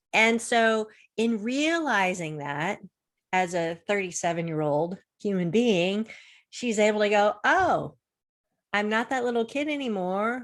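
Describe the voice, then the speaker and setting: On a very clean recording with a silent background, a woman speaks at a very slow pace with very wide pitch swings. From Florida. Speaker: confidence coach. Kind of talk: interview on a video show.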